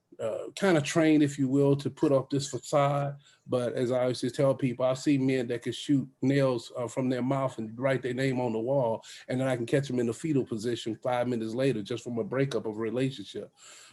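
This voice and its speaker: A man's dark, mellow voice at a fairly quick pace, with fairly even intonation. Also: medium pitch for a man. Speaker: military leader and author. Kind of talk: testimony. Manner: fast.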